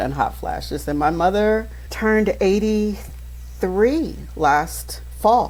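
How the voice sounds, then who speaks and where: Speaking at a very slow pace with an American accent, a woman is heard with audible room echo. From Maryland. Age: 60s. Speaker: pastor and coach. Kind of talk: podcast interview. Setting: podcast.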